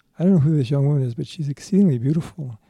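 A soft-spoken man's fairly high voice, dark and mellow in tone, with ordinary pitch variation. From Alaska. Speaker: former salmon fisherman. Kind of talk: interview testimony.

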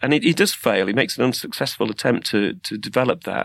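A man at a medium pitch speaks with lively intonation. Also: very clean recording, silent background. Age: 50s. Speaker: podcast co-host, former music studio head. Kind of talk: casual chat. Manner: halting, repeats words.

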